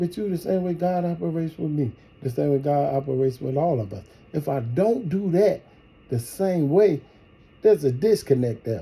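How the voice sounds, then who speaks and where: A man's somewhat breathy voice, fairly quick in pace and with lively intonation. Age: 50s. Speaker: partner in couple prank video. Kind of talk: heated relationship argument.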